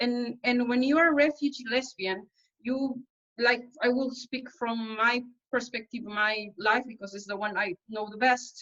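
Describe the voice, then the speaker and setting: With a Spanish accent, a woman speaks at a moderate pace in a high pitch, her intonation fairly even but her loudness swinging widely. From El Salvador. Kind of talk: panel talk at an online conference. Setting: online webinar. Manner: halting, with many fillers.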